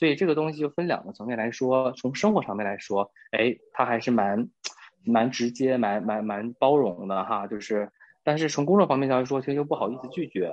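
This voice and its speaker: This man talks at a fairly quick pace with lively intonation. His pitch sits in the medium range. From Northeast China. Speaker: office worker and friend of host. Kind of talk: casual chat.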